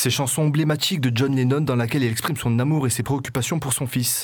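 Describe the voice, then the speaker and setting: Speaking at a fairly quick pace, this man has an ordinary speaking voice. His pitch is medium, with ordinary pitch variation. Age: 20s. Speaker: community radio host. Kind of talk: radio show with music presentation. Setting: radio studio.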